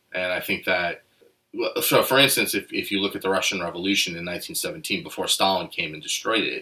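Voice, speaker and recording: A man with an American accent at a moderate pace. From New Jersey (Nutley). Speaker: recovering addict. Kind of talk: casual chat. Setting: small apartment.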